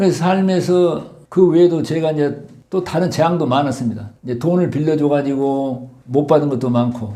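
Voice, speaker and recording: A man with a fairly high pitch talks at a moderate pace, and room echo is audible. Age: 70s. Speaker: doctor and author. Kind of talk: interview testimony.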